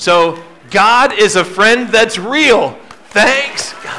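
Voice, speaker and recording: A man speaks in a raised, projected voice. Light background noise is present. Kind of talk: instructions to children's audience. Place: stage.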